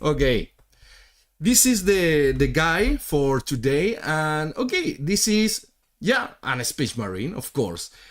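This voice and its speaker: A very clean, silent-backed recording of pitch that jumps across a very wide range. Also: man. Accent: non-native. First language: Spanish. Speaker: miniature painter streamer. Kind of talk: live stream tutorial chat. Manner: halting, many fillers and repetitions.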